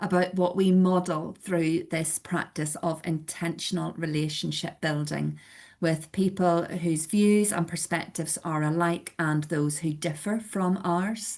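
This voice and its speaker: The speaker talks at a fairly slow pace with a Belfast accent. Intonation stays fairly even, and the background is quiet. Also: woman. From Northern Ireland, Belfast. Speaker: church community organiser. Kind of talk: webinar presentation.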